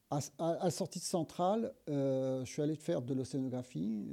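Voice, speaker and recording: A dark, mellow male voice at a fairly slow pace with ordinary pitch variation. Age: 60s. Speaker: engineer and sustainability advocate. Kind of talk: interview. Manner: hesitant, many fillers.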